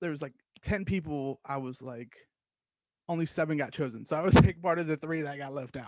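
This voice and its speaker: A man talks in an animated tone at a fairly quick pace, his pitch fairly high with ordinary variation. His loudness swings widely. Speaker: podcast host. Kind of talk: casual monologue.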